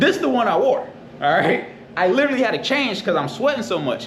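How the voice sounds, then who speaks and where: Over noticeable background noise and audible room echo, a man with an American accent speaks in an animated tone with very wide pitch swings. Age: 20s. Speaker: vlogger. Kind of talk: casual vlog storytelling. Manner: animated, repetitive.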